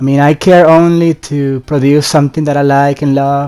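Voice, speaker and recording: A man speaks with a non-native accent at a fairly high pitch, in a monotone, flat intonation. Music plays in the background. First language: not English. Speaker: gaming YouTuber. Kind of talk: casual vlog commentary. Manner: halting, many fillers and restarts.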